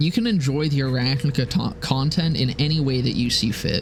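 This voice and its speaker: Quiet speech at a moderate pace with ordinary pitch variation. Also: man. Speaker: streamer and gaming YouTuber. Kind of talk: casual live stream chat. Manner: quiet, low-volume speaking; rambling, filler-heavy.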